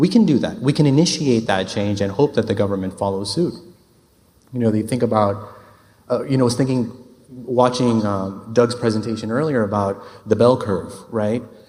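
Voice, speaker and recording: A man's dark, mellow voice at a medium pitch and fairly quick pace, with ordinary pitch variation, long, frequent pauses and audible room echo. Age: 30s. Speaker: urban planner. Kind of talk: conference talk.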